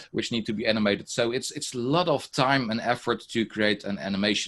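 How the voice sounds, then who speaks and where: A man with a Dutch accent, medium pitch and a moderate pace. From Netherlands. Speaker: teacher and software trainer; teacher, software trainer. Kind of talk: online workshop presentation. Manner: many fillers, hesitant. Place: home room.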